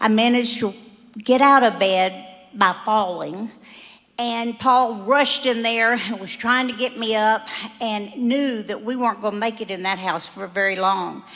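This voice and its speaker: A woman with an American accent talks at a moderate pace and fairly high pitch. Her intonation stays fairly even, and there is noticeable background noise. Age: 70s. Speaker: church member giving testimony. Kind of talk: testimony.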